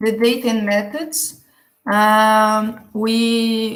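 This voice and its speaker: At a very slow pace, a woman with a medium pitch speaks amid audible room echo. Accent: Portuguese. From Brazil. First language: Portuguese. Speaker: geographer, conference presenter. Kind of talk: conference presentation. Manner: halting.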